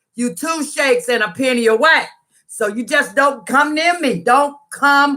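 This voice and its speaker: In a very clean recording with a silent background, a woman speaks loudly at a moderate pace, her tone animated and her intonation lively. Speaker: YouTuber sharing personal story. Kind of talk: storytime livestream.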